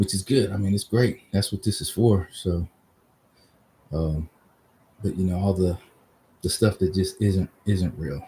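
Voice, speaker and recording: A man's very deep, low voice, somewhat breathy, with a dark, mellow tone, an American accent, ordinary pitch variation, a fairly slow pace and long, frequent pauses. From US West Coast, Oakland, California. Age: 50s. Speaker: vlogger. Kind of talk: casual solo livestream talk. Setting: outdoors in driveway. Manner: halting, many fillers. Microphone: laptop webcam.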